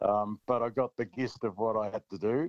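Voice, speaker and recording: The sound is dry and close with no echo. A man with an Australian accent talks with fairly even intonation. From Australia, rural central Victoria. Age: 70s. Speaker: country music singer-songwriter. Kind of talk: casual interview chat.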